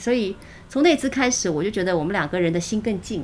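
A woman at a medium pitch, talking very fast with lively intonation. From Shanghai, China. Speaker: radio host. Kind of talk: interview.

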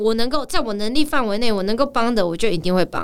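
A woman speaks with lively intonation. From Taiwan. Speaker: actress and professional dancer. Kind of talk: casual chat. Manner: animated.

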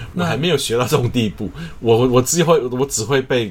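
This man has an ordinary speaking voice and lively intonation. He talks at a fairly quick pace. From Taiwan. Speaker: choir conductor. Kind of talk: interview.

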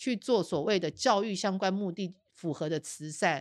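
A woman's animated tone moves along at a fairly slow pace. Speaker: investigative journalist and podcast host. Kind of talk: casual chat.

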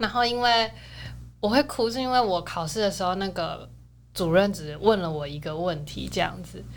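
At a moderate pace, a woman of medium pitch speaks with lively intonation in a room with audible echo. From Taiwan, outside Taipei. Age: 20s. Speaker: dancer and university student. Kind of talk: casual interview.

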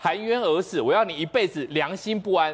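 A man talks at a fairly quick pace. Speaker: TV political talk show commentator. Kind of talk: storytelling on a TV talk show. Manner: animated, dramatic.

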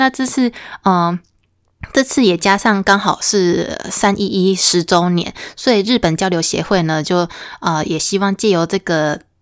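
With a Taiwanese accent, a woman at a medium pitch speaks at a fairly slow pace with ordinary pitch variation, on a very clean recording with a silent background. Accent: Taiwanese Mandarin. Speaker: podcast host. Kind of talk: arts news segment; casual solo podcast talk. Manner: hesitant, many fillers and self-corrections.

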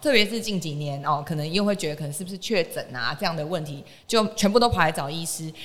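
A woman talks at a very fast pace in a fairly low pitch. Her intonation is lively. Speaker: podcast host. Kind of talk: casual health interview. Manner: animated.

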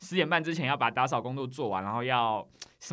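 His pitch swings very widely as a man talks at a fairly quick pace. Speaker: government investigator. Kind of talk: interview. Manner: articulate.

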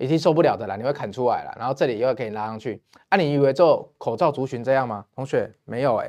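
A man talks at a very fast pace, his pitch at a medium level. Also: ordinary pitch variation. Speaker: stock market commentator. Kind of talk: investment show monologue. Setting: studio. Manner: animated.

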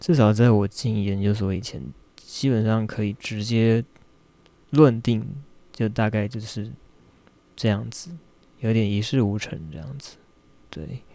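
On a very clean recording with a silent background, a man with a fairly low pitch and dark, mellow tone speaks at a fairly slow pace, with ordinary pitch variation and long, frequent pauses. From Taiwan. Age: 30s. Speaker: podcaster and graduate student. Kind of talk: personal monologue. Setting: home recording in bedroom. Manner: halting, with frequent fillers and repeated words.

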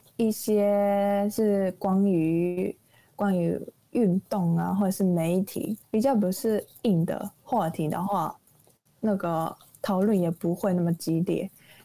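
With a Taiwanese accent, a woman speaks at a very slow pace and with ordinary pitch variation. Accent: Taiwanese Mandarin. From Japan, Nagoya. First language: Japanese (speaking Chinese). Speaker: recent university graduate. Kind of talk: casual interview. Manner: halting.

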